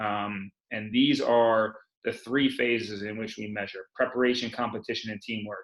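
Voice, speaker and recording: This man's pitch sits at a medium level. He talks at a moderate pace. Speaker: sports tech company co-owner. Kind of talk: webinar presentation.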